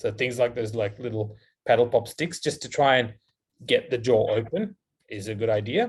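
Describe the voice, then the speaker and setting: Somewhat breathy, a man talks at medium pitch with ordinary variation in his pitch. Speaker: dentist, guest lecturer. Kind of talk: lecture Q&A. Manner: fast.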